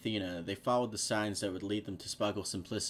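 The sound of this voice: The speaker uses an unforced reading voice with fairly even intonation.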